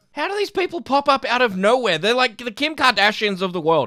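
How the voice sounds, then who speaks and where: A man speaks with an Australian accent in a bright, sharp tone. His pitch swings very widely. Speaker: YouTube commentator. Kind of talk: reaction commentary. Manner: animated.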